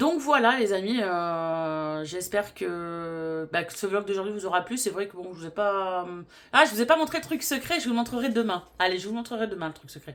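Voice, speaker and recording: A woman speaks at a moderate pace with hardly any pauses, her pitch medium and her intonation lively. Her loudness swings widely in a very clean recording with a silent background. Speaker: vlogger. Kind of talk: casual vlog talk. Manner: hesitant, many fillers.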